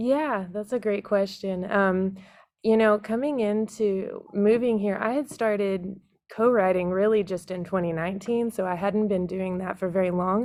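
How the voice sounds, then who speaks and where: This woman has a normal speaking voice at medium pitch, with an American accent. She talks at a moderate pace with fairly even intonation. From Texas. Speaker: singer-songwriter. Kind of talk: podcast interview.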